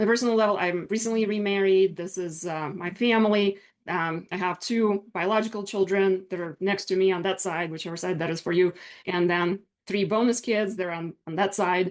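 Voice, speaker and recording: With a Russian accent, a woman talks at a fairly quick pace in a medium pitch, keeping her intonation fairly even. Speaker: business attorney. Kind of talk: online workshop presentation.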